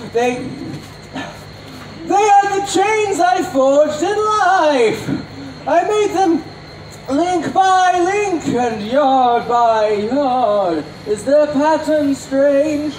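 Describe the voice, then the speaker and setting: Delivered at a very slow pace, a put-on character voice comes through with slight echo and clear background noise. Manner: theatrical, warning.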